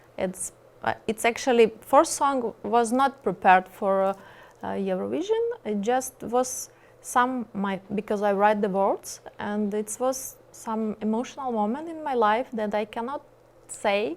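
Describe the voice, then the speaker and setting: This speaker has a Russian accent and ordinary pitch variation. The pace is fairly slow. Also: woman. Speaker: singer, model and actress. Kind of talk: interview. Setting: TV studio with audience. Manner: halting.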